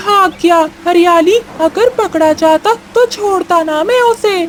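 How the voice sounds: A cartoonish character voice pitched extremely high speaks at a fairly slow pace over clear background noise.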